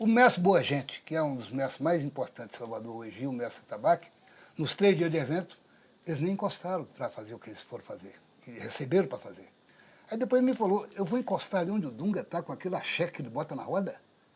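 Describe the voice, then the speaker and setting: Talking at a very fast pace, a man with a high pitch makes very wide pitch swings and big swings in loudness. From Bahia, Brazil. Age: 70s. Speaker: capoeira master. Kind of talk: interview. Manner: animated.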